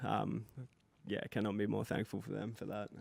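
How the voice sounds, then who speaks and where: The voice is shaky, with an Australian accent. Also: man. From Queensland, Australia. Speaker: rapper. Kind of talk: interview. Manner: shaky, nervous voice.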